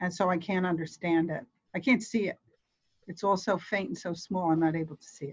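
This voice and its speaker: A somewhat breathy voice with big swings in loudness. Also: woman, fairly low pitch for a woman, ordinary pitch variation. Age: 60s. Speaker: volunteer ESL tutor trainee. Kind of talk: casual chat. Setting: video call. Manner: halting.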